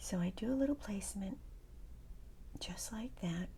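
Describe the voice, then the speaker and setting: A woman speaks at a moderate pace with a medium pitch and a dark, mellow, calm tone. Vocal fry runs through her voice. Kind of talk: casual talk to camera. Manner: soft-spoken, calm.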